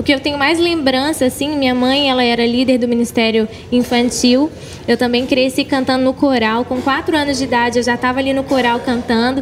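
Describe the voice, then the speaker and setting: Noticeable background noise runs beneath a woman's high-pitched voice. She talks at a fairly quick pace with very even loudness. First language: English (speaking Portuguese). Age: 20s. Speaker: gospel singer. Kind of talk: interview. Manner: animated.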